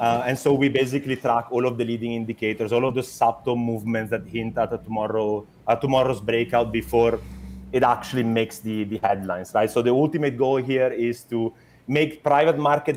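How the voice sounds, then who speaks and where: In an Italian accent, a man speaks fairly quickly at a medium pitch with fairly even intonation. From Italy. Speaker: startup founder. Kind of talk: interview. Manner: halting, many fillers and repetitions.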